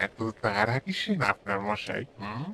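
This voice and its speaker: A man's cartoonish character voice at a medium pitch. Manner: cryptic, unsettling.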